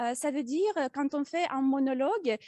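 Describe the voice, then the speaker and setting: Speaking with a slight non-native accent, a woman has a high pitch and ordinary pitch variation. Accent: slight foreign accent in French. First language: not French (speaking French). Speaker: public speaking club member. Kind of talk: prepared speech. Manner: halting, many hesitations.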